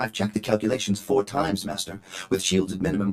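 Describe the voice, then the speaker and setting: A man puts on a character voice at a fairly low pitch. He talks at a very fast pace. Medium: video game.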